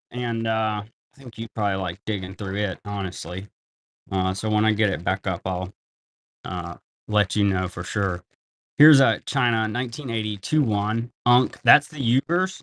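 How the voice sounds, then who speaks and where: Here is a man with a plain, everyday voice, pitched fairly low with ordinary pitch variation, at a moderate pace. The recording is very clean, with a silent background. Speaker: live-stream banknote seller. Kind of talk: live sales stream. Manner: casual, chatty.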